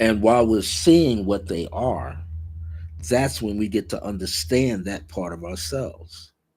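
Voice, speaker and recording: Speaking at a fairly slow pace, a man with a fairly low, somewhat breathy voice uses lively intonation. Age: 70s. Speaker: spiritual teacher and author. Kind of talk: livestream talk on spirituality and dreams.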